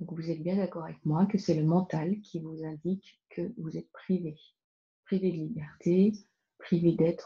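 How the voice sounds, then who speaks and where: A soft-spoken woman with a somewhat breathy, fairly low voice talks with fairly even intonation. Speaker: spiritual card reader. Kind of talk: spiritual card reading talk. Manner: slow.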